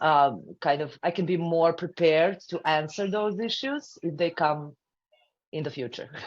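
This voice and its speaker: A woman speaks at a fairly slow pace with a non-native accent. Her pitch is fairly low, with ordinary variation. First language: not English. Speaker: audience member, business owner. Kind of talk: live Q&A question. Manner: halting, many fillers.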